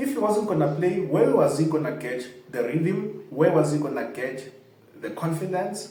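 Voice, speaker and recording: A man speaks at a fairly slow pace with a fairly high pitch and lively intonation. Audible room echo and noticeable background noise fill the recording. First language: not English. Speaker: football fan channel host. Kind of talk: casual commentary to camera.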